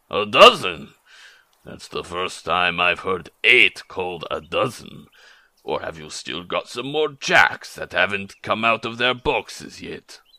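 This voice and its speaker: A man puts on a character voice, gruff and growling at a medium pitch. He speaks at a fairly slow pace. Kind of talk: dramatic book reading in a character voice. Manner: blunt, impatient, sardonic.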